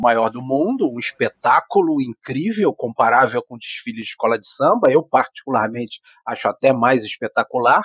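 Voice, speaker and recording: A man with a normal speaking voice at a moderate pace, hardly any pauses, big swings in loudness, and a dry, close sound with no echo. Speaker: biology professor. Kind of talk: interview conversation.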